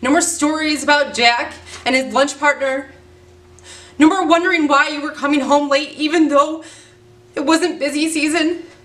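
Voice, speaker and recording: A woman with a high pitch speaks at a moderate pace in a monotone, flat way. Long, frequent pauses break up her speech. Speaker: actor performing a monologue. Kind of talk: dramatic acting monologue. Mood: angry, hurt, upset. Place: home room.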